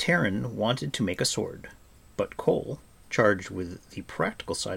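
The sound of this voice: Lively intonation in an unforced reading voice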